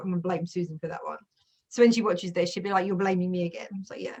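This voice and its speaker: This woman speaks with an English accent at a medium pitch. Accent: English accent, heavier with family. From England. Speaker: youtuber. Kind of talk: casual chat. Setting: video call.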